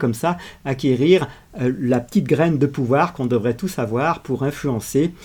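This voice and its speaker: A man speaks at a moderate pace in a fairly high, dark, mellow voice that is somewhat breathy, with lively intonation. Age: 70s. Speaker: video channel host. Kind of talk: reflective monologue. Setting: outdoors on a walk. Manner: hesitant with frequent fillers.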